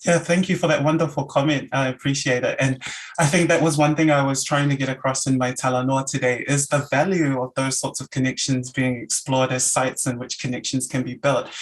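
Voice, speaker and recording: Speaking fairly quickly with fairly even intonation, a man with a fairly high pitch is heard over noticeable background noise. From New Zealand, Auckland. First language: Samoan. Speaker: academic lecturer. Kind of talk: Q&A discussion.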